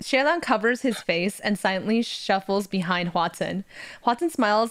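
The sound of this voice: The clip features an unforced reading voice.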